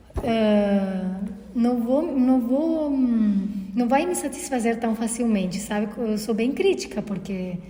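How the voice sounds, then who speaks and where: At a very slow pace and with ordinary pitch variation, the speaker talks in a Uruguayan accent amid audible room echo and noticeable background noise. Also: woman, fairly high pitch for a woman. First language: Spanish (speaking Portuguese). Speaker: podcast co-host, holistic therapist. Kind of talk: casual conversation. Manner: halting, many fillers.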